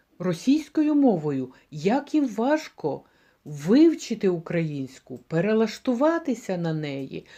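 Her dark, mellow voice at a medium pitch swings very widely in pitch as this woman speaks at a very slow pace over a quiet background. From Ukraine, Kyiv region (Polissia). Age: 60s. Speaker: cooking vlogger, retiree. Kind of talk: casual vlog talk to camera.

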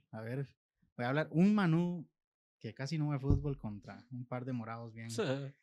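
With lively intonation, a man talks at a moderate pace against a quiet background. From Costa Rica. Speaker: podcast host. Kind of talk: casual chat. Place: studio. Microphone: studio mic.

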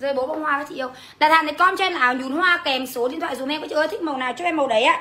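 Talking at a very fast pace with hardly any pauses, a woman raises and projects her high voice, her tone animated and her pitch variation ordinary. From Vietnam. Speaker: online clothing seller. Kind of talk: livestream sales pitch. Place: home room. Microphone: phone near.

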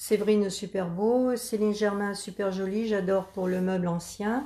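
Her tone dark and mellow, a woman speaks at a fairly slow pace with fairly even intonation. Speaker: grandmother reading live comments. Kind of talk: reading out viewer comments. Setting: Facebook live video, behind the camera. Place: workshop. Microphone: camera far.

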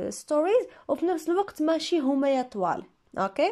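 A woman speaks at a fairly quick pace with ordinary pitch variation, on a very clean recording with a silent background. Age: 20s. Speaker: English teacher and YouTuber. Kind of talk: Q&A video monologue. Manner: casual, conversational.

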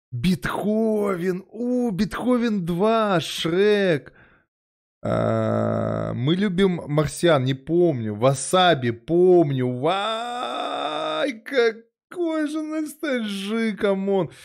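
Very slow speech with very wide pitch swings over a quiet background. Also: man. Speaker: streamer. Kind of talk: casual reaction commentary. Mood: nostalgic, amused. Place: home room. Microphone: studio mic.

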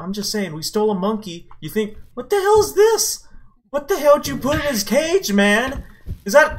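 A man puts on a whiny character voice, pitched high. He speaks at a moderate pace. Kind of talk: comic overacting. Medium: machinima. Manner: excitable, panicky, whiny.

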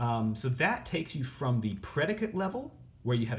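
Vocal fry runs through this man's speech as his pitch swings very widely at a fairly quick pace. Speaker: teacher. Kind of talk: lecture. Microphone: phone near.

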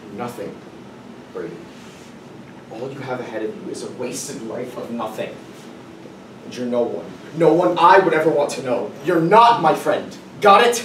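A man speaks at a moderate pace with very wide pitch swings, big swings in loudness and long, frequent pauses. Audible room echo and light background noise fill the recording. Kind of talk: dramatic monologue performance. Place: classroom. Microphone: camera far.

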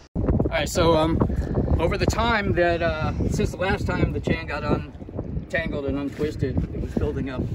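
Delivered at a moderate pace, the speech sounds dry with no echo, while loud noise fills the background. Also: man. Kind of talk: tutorial. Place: boat.

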